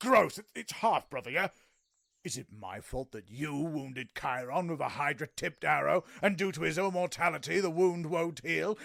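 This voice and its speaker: A man performs in a put-on character voice. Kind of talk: comic overacting. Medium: audio drama. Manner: bombastic, petulant, self-centred.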